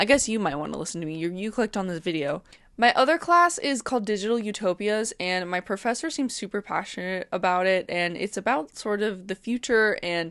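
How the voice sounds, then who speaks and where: Mumbling at a fairly quick pace, a woman speaks in a medium pitch with lively intonation. The background is quiet. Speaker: art student and vlogger. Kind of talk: casual vlog talk. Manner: loud.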